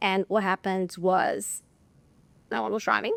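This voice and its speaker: A woman with an Australian accent speaks at a medium pitch with fairly even intonation in a very clean recording with a silent background. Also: dry, close sound with no echo. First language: Russian. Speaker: insolvency professional. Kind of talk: interview testimonial.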